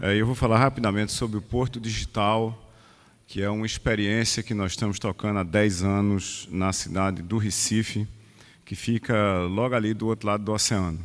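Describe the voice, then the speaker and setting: Quiet background, a man's fairly low voice, fairly even intonation and a moderate pace. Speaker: professor. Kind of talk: conference talk. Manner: hesitant, with fillers.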